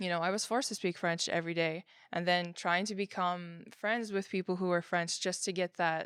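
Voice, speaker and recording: The speaker has a Quebec accent and monotone, flat intonation at a moderate pace. The recording is very clean, with a silent background. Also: woman. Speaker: interviewee. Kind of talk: interview testimony.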